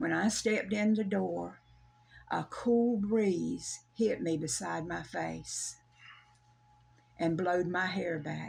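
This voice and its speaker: Someone with a Southern US accent speaks very slowly, pausing long and often. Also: woman. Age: 70s. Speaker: storyteller sharing a personal paranormal experience. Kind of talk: casual interview, personal story. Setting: in person at her home.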